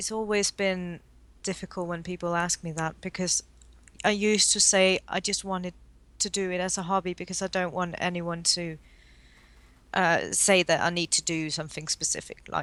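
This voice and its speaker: A woman with a posh English accent speaks at a moderate pace in a monotone, flat way. The sound is dry and close, with no echo. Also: medium pitch for a woman, quiet background. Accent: fluent, posh-sounding English. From Denmark. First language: Danish. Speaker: watercolor artist. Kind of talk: casual interview.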